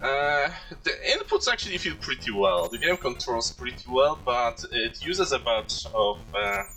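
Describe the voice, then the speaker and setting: Someone with a Polish accent speaks at a fairly slow pace. Music plays in the background. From Poland. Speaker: video game streamer. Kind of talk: live gameplay commentary. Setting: live stream. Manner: halting, with many fillers.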